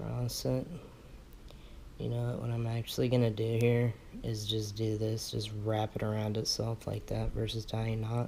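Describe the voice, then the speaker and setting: A quiet man at a moderate pace. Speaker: vape coil building tutorial maker. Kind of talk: tutorial. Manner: quiet, low-key; casual, conversational.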